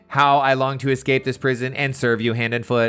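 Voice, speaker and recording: In a put-on, robotic character voice, a man speaks at a medium pitch and a fairly quick pace. The delivery is monotone and flat. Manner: exaggerated, devoted.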